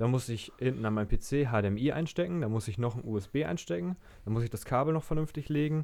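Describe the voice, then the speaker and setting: A man speaks fairly quickly at a medium pitch. His tone is dark and mellow, and his intonation is lively. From northern Germany. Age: 20s. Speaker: podcast co-host, bicycle trade worker. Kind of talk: casual chat.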